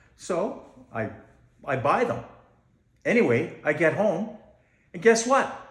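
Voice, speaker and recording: A man with a high pitch, very wide pitch swings, long, frequent pauses and audible room echo. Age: 60s. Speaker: amateur comedian. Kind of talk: stand-up. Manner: halting.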